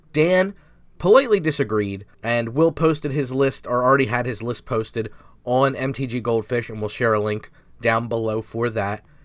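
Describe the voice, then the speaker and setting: On a very clean recording with a silent background, a man talks at a moderate pace in a plain, everyday voice, with medium pitch and ordinary pitch variation. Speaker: YouTube gaming channel host. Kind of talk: casual chat.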